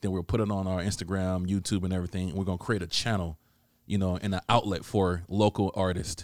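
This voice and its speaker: A man's very deep, low voice, very fast in pace and monotone and flat, on a very clean recording with a silent background. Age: 30s. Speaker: podcast host. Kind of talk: casual chat. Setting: studio.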